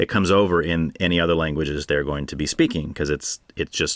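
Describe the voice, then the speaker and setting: A man's very deep, low voice, bright and sharp in tone, with a Californian accent and a dry, close sound without echo. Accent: California. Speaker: podcast host. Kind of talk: solo Q&A monologue.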